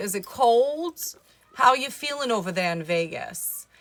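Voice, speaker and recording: A woman with an American accent, fairly high-pitched, with very wide pitch swings at a fairly slow pace, music in the background. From Brooklyn, New York. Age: 30s. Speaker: livestreamer. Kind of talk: casual live stream chat. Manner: animated.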